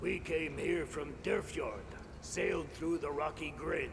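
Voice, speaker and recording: Over loud background noise, a man does a put-on character voice at a fairly slow pace. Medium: video game. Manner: blunt, indignant.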